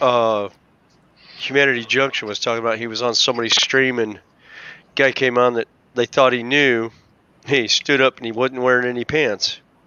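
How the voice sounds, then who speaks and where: Pausing long and often, a man at medium pitch keeps a monotone, flat intonation and a moderate pace amid noticeable background noise. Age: 50s. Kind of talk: casual chat.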